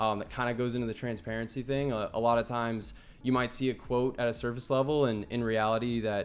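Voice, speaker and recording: In an American accent, a man at medium pitch speaks fairly quickly with monotone, flat intonation. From United States. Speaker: fulfillment consultant. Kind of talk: casual business interview. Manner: filler-heavy, repeats words.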